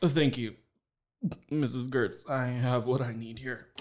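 A man puts on a raspy character voice at a medium pitch, speaking fairly slowly with fairly even intonation. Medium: audio drama. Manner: incredulous.

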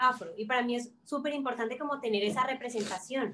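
A woman's high voice in a Cali accent, fairly quick in pace, with ordinary pitch variation. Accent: Caleño Colombian Spanish. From Colombia, Cali. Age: 20s. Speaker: actress and fashion designer. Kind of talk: casual chat. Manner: animated.

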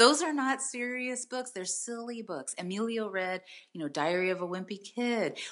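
Lively intonation marks this woman's fairly high voice, an unremarkable speaking voice with an American accent. She keeps a moderate pace. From San Jose, California. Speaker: college admissions expert and author. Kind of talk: interview conversation.

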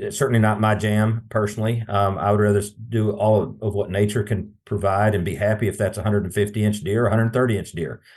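A man with an American accent speaks in a fairly low, somewhat breathy voice with hardly any pauses against a quiet background. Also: fairly even intonation, moderate pace. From East Texas. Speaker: wildlife biologist. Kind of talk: casual chat.

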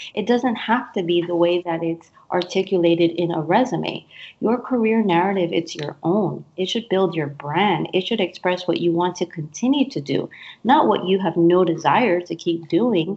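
Delivered at a moderate pace in an East Coast accent, the speech carries ordinary pitch variation. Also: woman, fairly low pitch for a woman. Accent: American (East Coast). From US East Coast. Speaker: career coach. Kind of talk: interview.

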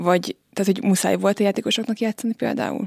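With a silent background, this very clean recording has a dry, close sound and no echo. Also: woman. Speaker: podcast host. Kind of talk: interview. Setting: studio.

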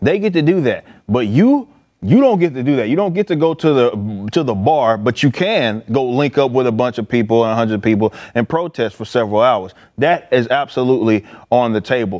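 In a normal speaking voice, a man talks at a fairly quick pace with medium pitch and lively intonation. The background is quiet. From Dallas, Texas (Oak Cliff). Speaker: political commentator. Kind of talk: casual panel discussion.

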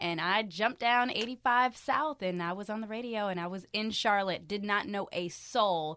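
A normal speaking voice from a woman with an American accent, medium in pitch with ordinary pitch variation, on a very clean recording with a silent background. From military family; grew up in Frankfurt, Germany, then Hampton, Virginia. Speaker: arena host and radio personality. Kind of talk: casual interview.

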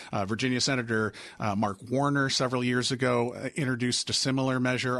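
Amid noticeable background noise, the speech runs at a very fast pace with hardly any pauses, very even loudness and monotone, flat intonation. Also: man. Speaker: political radio correspondent. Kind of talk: news interview.

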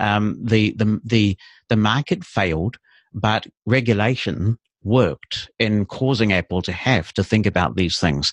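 In a New Zealand accent, a man talks fairly slowly at a fairly low pitch, the sound dry and close with no echo. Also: ordinary pitch variation, quiet background. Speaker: assistive technology consultant. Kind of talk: interview. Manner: articulate.

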